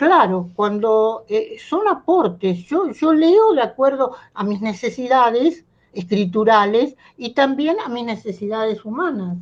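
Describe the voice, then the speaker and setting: A woman speaks very slowly in a fairly high voice with lively intonation. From Argentina. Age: 80s+. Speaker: playwright and writer. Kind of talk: talk with students. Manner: halting, many fillers.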